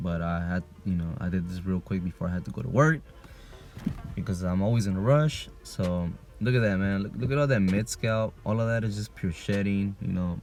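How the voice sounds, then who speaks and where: The speech moves at a fairly quick pace with ordinary pitch variation. Music plays in the background. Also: man, fairly low pitch for a man. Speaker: vlogger documenting hair regrowth. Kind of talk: casual video diary. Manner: casual, filler-heavy.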